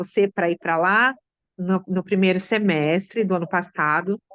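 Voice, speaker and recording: A woman at a fairly slow pace, with dry, close sound and no echo. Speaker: school teacher, theatre with students. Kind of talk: interview answer.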